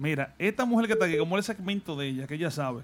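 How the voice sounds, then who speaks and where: The speech moves at a very fast pace while music plays in the background. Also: man. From Dominican Republic, Salcedo. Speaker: radio DJ. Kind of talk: casual chat. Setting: studio.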